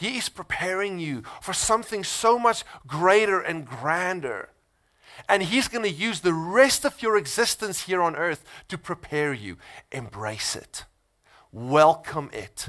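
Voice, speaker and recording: In a South African accent, a man speaks at a fairly slow pace in a high, bright, sharp voice, with very wide pitch swings and big swings in loudness. The recording is very clean, with a silent background. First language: Afrikaans. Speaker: pastor. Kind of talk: sermon. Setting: church.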